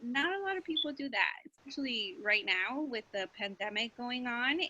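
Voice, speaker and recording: Speaking with a Spanish accent at a moderate pace, a woman raises and projects her high voice, swinging very widely in pitch. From Mexico. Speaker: school counselor. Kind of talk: class presentation.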